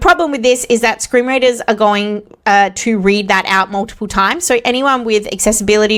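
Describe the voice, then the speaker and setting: A woman speaks at a medium pitch with an Australian accent and ordinary pitch variation. Her pace is very fast. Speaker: web development tutorial creator. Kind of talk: tutorial. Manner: casual with frequent fillers.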